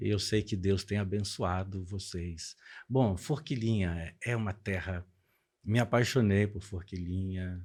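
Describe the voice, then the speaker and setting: Speaking at a very slow pace, a man uses a fairly low pitch. The recording is very clean, with a silent background. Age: 60s. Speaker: pastor. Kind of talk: podcast interview.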